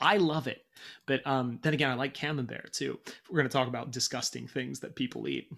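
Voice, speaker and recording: Man with an American accent and vocal fry, medium pitch, fairly quick pace, very clean recording with a silent background. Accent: sounds American. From Britain. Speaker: podcast host. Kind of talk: casual chat. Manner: animated.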